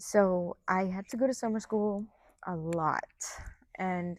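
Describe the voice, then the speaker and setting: Recorded very cleanly against a silent background, this woman speaks at a medium pitch with ordinary pitch variation in a dry, close sound with no echo. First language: Spanish. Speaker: college soccer player. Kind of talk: interview. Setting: indoor sports facility.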